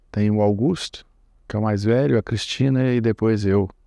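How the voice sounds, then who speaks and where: A man's medium-pitched, dark and mellow voice at a fairly slow pace. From Brazil, Minas Gerais (Triângulo Mineiro, Uberlândia). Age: 60s. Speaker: commodity broker. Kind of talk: oral history interview.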